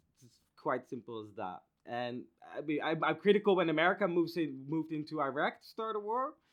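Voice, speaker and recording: With a Dutch accent, a man talks at a fairly quick pace. His pitch is fairly high and his intonation lively. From Netherlands. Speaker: podcast co-host. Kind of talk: heated debate. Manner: halting.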